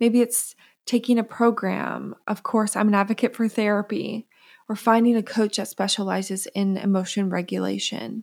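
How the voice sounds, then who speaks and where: Here a woman talks at a moderate pace. The recording is very clean and the background silent. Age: 30s. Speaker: podcast host and psychotherapist. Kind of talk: solo podcast monologue.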